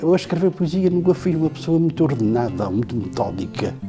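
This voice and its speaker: With music playing behind him, a man talks in very wide pitch swings. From Terceira island, Azores, Portugal. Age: 70s. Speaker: poet. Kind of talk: interview answer. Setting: studio.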